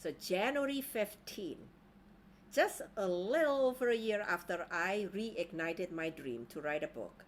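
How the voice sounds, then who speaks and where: With an Indonesian accent, a woman at a medium pitch speaks at a fairly slow pace, her pitch swinging very widely. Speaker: life coach. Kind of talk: online training talk.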